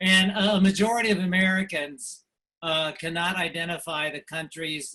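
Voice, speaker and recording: This man's voice shows ordinary pitch variation. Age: 60s. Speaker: political cartoonist. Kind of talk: presentation. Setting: video call from home studio. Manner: hesitant, many fillers.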